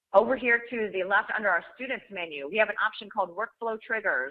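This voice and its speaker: At a fairly quick pace, a woman talks in an unremarkable speaking voice with ordinary pitch variation. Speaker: software trainer. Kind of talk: webinar software demo. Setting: online webinar. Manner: too quiet.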